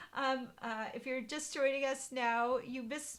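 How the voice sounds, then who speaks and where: A woman's high-pitched voice with a bright, sharp tone. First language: German. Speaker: card-making demonstrator. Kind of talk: live stream craft tutorial chat. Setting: Facebook live stream. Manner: casual, hesitant with many fillers. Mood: cheerful, friendly. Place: home room. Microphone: webcam.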